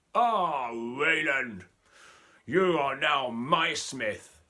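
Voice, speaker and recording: In a put-on character voice, the speaker sounds raspy and moves at a very slow pace with lively intonation. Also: man, fairly high pitch for a man. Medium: read story.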